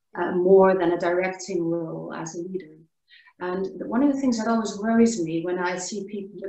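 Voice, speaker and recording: A woman with a Dutch accent speaks with fairly even intonation. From Netherlands. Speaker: workshop participant. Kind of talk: online group discussion. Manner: hesitant, with fillers.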